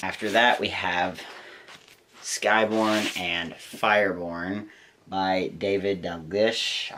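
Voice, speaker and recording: A man puts on a character voice that is raspy and very deep, low in pitch. He mumbles at a very slow pace in a monotone, flat intonation. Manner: mumbling.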